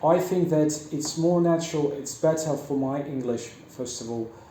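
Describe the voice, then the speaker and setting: Through audible room echo, a man speaks at a fairly high pitch. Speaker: English teacher. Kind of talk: casual interview. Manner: halting, with repetitions.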